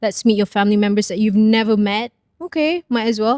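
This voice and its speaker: Fairly quick, fairly high female speech, dark and mellow in tone, with ordinary pitch variation and a dry, close sound with no echo. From grew up abroad, various countries. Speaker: PR professional, former TV news presenter. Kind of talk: casual podcast interview.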